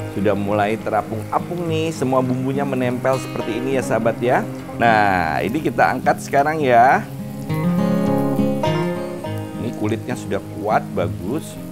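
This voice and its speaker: Loud music plays in the background as a man speaks with long, frequent pauses. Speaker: cooking show host. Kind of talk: tutorial. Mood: cheerful, warm. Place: studio. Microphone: lapel.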